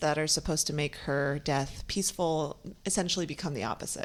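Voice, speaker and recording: On a very clean recording with a silent background, a woman with an unremarkable speaking voice talks at a moderate pace, fairly low in pitch with lively intonation. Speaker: film director and writer. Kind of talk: interview answer describing her film.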